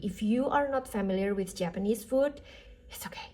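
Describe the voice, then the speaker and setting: Her voice is somewhat breathy, with a dark, mellow tone. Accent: non-native. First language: not English. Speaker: tarot reader. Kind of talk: tarot reading. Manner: casual, with fillers.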